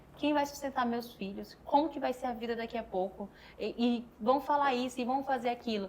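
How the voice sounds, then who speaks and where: A woman's high voice moves at a moderate pace with fairly even intonation. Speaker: podcast host. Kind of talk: casual chat.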